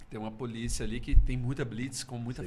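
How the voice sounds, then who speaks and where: This man's voice comes with audible room echo. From Brazil, Belo Horizonte. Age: 40s. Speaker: singer-songwriter. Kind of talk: casual chat.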